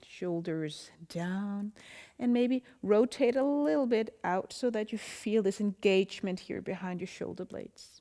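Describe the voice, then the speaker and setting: With a Danish accent, a woman speaks in a calm tone at a fairly slow pace, her medium pitch carrying a dark, mellow tone and ordinary pitch variation. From Denmark. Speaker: yoga instructor. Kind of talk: guided yoga class instruction. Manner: calm, slow.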